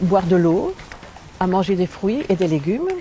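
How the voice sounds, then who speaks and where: There is noticeable background noise. Through it, a woman talks at a medium pitch. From Belgium. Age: 60s. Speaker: raw food diet testimonial speaker. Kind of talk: testimony.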